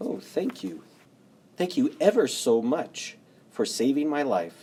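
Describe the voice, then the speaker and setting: In a put-on character voice, a man sounds squeaky with a fairly high pitch. He goes at a fairly slow pace. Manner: grateful.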